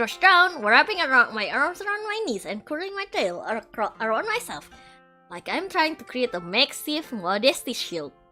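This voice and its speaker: Using a put-on character voice, a woman speaks at a moderate pace with a high pitch and very wide pitch swings. Her loudness swings widely, and faint music plays in the background. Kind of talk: game text read aloud. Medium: virtual streamer. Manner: flustered, wry.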